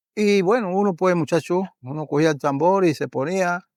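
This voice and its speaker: With ordinary pitch variation, a man speaks rather slowly. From Panama, Herrera province (Parita). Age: 60s. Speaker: folk drummer and drum maker. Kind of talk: interview. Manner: halting.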